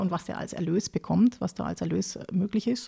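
A woman speaks with vocal fry. The recording is very clean, with a silent background and a dry, close sound with no echo. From southern Germany, near Lake Constance (Baden-Württemberg). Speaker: agricultural advisor on pig farming. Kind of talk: expert interview. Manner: many hesitation fillers.

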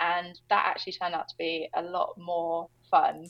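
A woman with a British accent, speaking at a moderate pace. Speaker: agency founder and entrepreneur. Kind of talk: interview conversation.

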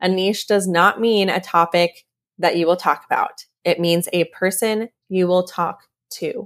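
A woman speaks at a fairly slow pace with a medium pitch and an animated tone. The recording is very clean, with a silent background. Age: 20s. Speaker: podcast host and content creator. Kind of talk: solo Q&A monologue.

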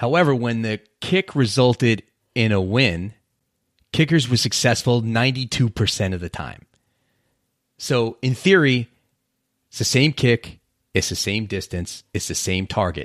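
Animated in tone and lively in intonation, the speaker moves at a fairly slow pace with long, frequent pauses. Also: man, medium pitch for a man, very clean recording, silent background. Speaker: podcast host, former police officer. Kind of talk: solo motivational podcast monologue.

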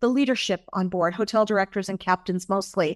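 A woman with a normal speaking voice talks at a medium pitch with ordinary pitch variation, in a dry, close sound with no echo and a quiet background. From Massachusetts, US. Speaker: cruise line executive. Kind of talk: interview conversation.

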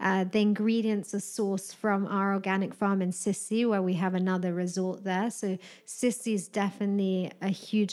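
Moderate, monotone, flat speech in a British accent. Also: woman. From UK. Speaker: wellness director of a hotel group. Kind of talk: interview chat about spa products.

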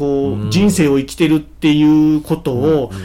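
A man is speaking. His pace is moderate. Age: 40s. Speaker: company president, second-generation successor. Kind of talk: interview.

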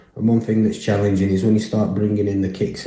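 A man with a Lancashire accent talks at a fairly low pitch in a dark, mellow, somewhat breathy tone. His intonation is monotone and flat, and audible room echo surrounds him. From northern England, Burnley, Lancashire. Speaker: listener sending a question. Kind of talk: recorded voice message question.

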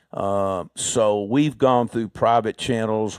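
Captured on a very clean recording with a silent background and a dry, close sound with no echo, a man talks in an Alabama accent. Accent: US Southern (Alabama). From Alabama, Birmingham. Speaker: heart surgeon. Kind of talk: interview conversation.

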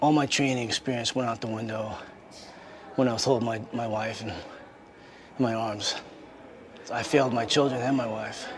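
Amid noticeable background noise, a man speaks fairly quickly at a medium pitch with flat, monotone intonation and long, frequent pauses. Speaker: military officer. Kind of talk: testimony.

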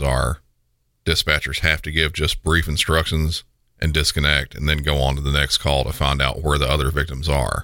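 In a very deep, low pitch, a man talks at a moderate pace with a bright, sharp tone, vocal fry and monotone, flat intonation. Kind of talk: scripted narration of true crime. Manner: formal, steady, matter-of-fact.

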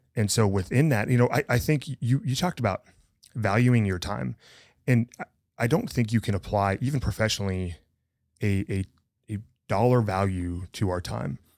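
With an American accent and a normal speaking voice, a man talks at a fairly low pitch with lively intonation on a very clean recording with a silent background. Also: moderate pace. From rural north-central Montana. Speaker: podcast co-host. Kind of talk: casual chat.

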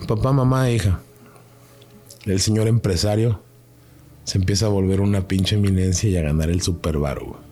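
A man with a Mexican accent speaks at a moderate pace and a fairly low pitch, with lively intonation, very even loudness, and long, frequent pauses. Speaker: paranormal experiencer. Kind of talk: casual chat. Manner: animated.

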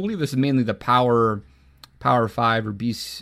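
A man at medium pitch with an American accent and ordinary pitch variation. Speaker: sports podcast host. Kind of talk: casual chat. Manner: halting.

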